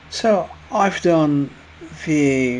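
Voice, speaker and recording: Over noticeable background noise, a man speaks with a French accent. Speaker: watercolour painting teacher. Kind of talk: painting tutorial narration. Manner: hesitant, many fillers.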